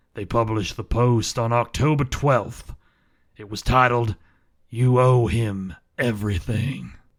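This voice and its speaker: Putting on a character voice, a man speaks at medium pitch. His pace is fairly slow. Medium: audio drama. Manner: dry, deadpan.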